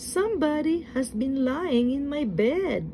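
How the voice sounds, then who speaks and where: A woman's high-pitched, put-on character voice at a fairly slow pace, with clear background noise. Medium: read story.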